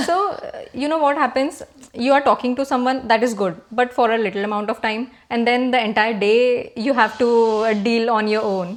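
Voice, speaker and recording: A woman speaks with an Indian accent at a high pitch. Her pace is moderate, with ordinary pitch variation. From Maharashtra, India. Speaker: engineer. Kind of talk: interview answer.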